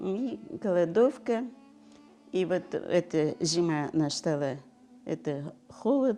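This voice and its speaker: With music in the background, a woman speaks with very wide pitch swings. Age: 80s+. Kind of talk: oral history interview answer.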